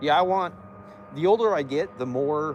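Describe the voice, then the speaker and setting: A man talks in an American accent with ordinary pitch variation while noticeable background noise continues. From Arizona. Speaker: livestreamer. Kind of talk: casual chat.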